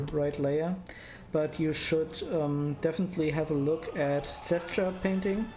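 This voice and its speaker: With noticeable background noise behind her, a woman with a very deep, low pitch and a strong German accent speaks at a moderate pace in a fairly even intonation. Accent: thick German. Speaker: digital artist streamer. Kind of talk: live stream tutorial chat. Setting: live stream. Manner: halting, many fillers.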